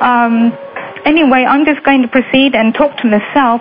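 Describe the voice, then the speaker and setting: High-pitched female speech at a moderate pace, fairly even in intonation, over background music. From Lancashire, UK. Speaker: radio show host. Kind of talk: radio show introduction.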